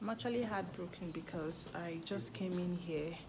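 Amid audible room echo and clear crowd noise in the background, a woman speaks at a fairly low pitch and a fairly slow pace.

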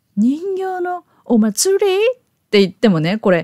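A woman's voice with very wide pitch swings, a dry, close sound with no echo, and a very clean recording over a silent background. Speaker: YouTube educator for elementary English teachers. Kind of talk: tutorial. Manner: casual, friendly teacherly tone.

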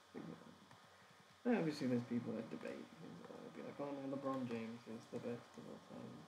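A man keeps a moderate pace while noticeable background noise runs beneath his words. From England. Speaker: animation streamer. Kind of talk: casual chat while working. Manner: halting.

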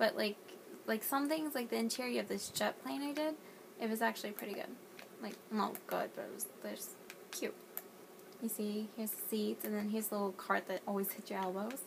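A woman with an American accent talks at a fairly quick pace with long, frequent pauses. Noticeable background noise runs underneath. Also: fairly high pitch for a woman, ordinary pitch variation, big swings in loudness. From US South, North Carolina. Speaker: gaming YouTuber. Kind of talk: casual gameplay walkthrough. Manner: animated. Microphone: phone near.

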